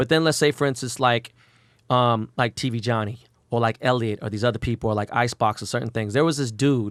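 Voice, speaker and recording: This man talks very fast in an animated tone with an American accent, his medium-pitched voice recorded very cleanly against a silent background with a dry, close sound and no echo. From Los Angeles, Koreatown. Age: 40s. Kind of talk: casual interview.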